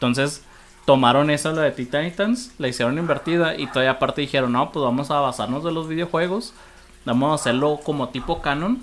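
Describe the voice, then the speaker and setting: With a plain, everyday voice, a man speaks at a fairly quick pace, his fairly high pitch showing ordinary pitch variation. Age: 30s. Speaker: podcast guest. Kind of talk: casual chat.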